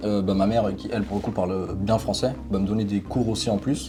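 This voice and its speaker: Fairly quick speech from a man, pitched fairly low, over noticeable background noise. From Portugal. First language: Portuguese (speaking French). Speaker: youtuber. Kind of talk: interview. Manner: hesitant, many fillers.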